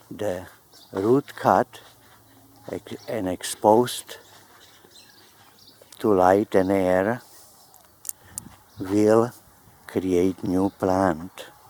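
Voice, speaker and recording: A man with a fairly low pitch speaks at a very slow pace, with long, frequent pauses and fairly even intonation. The sound is dry and close with no echo, though there is noticeable background noise. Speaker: plant grower. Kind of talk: gardening tutorial.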